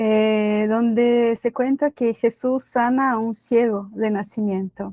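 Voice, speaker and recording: A woman with a Brazilian accent and a fairly high pitch, a dark, mellow tone, fairly even intonation and a very slow pace, in a dry, close sound with no echo. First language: Portuguese (speaking Spanish). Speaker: lay preacher. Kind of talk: sermon. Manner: halting.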